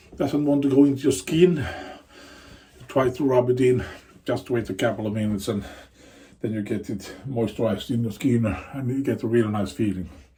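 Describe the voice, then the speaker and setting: In a put-on character voice, the speaker mumbles at a fairly quick pace with long, frequent pauses and ordinary pitch variation. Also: man, medium pitch for a man. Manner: mumbling.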